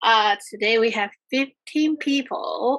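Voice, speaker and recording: Raised and projected, a woman's voice has a high pitch, a bright, sharp tone and ordinary pitch variation. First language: not English. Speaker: event host. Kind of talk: online event announcements. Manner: halting.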